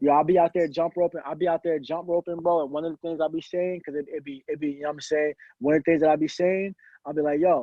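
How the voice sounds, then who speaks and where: In an American accent, a man speaks at a very fast pace. His pitch sits fairly high. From Virginia. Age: 20s. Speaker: rapper. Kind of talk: casual chat. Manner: animated.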